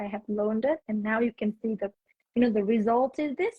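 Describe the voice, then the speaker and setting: A woman with a slight Vietnamese accent speaks at a fairly high pitch, somewhat breathy, with ordinary pitch variation. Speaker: English teacher. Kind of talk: casual chat. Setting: Instagram live video call.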